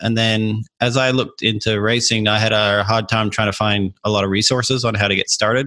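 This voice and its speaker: A man's fairly low, bright and sharp voice at a fairly quick pace, with hardly any pauses, monotone, flat intonation and very even loudness. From Australia, Adelaide. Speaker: aerospace engineer and amateur racer. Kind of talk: podcast interview.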